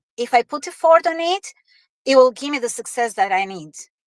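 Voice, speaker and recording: A woman with an Albanian accent uses lively intonation in a very clean recording with a silent background and a dry, close sound with no echo. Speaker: online business owner with corporate job. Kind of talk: interview. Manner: halting, many fillers.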